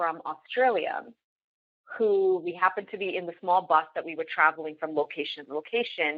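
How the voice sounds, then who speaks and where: A woman with a Canadian accent, a normal speaking voice, fairly low pitch and a moderate pace. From Canada, Toronto area. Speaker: business leader and podcaster. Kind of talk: podcast interview.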